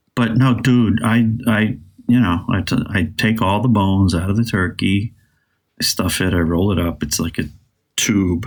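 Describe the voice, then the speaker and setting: A man talks at a moderate pace with ordinary pitch variation and very even loudness. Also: fairly low pitch for a man. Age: 60s. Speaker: podcast co-host. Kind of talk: casual chat. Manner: animated.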